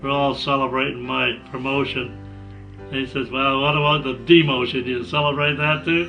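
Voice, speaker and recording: A man with a Canadian accent, medium pitch and a moderate pace, with music in the background. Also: ordinary pitch variation. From Ontario, Canada. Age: 80s+. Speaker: war veteran. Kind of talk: interview answer.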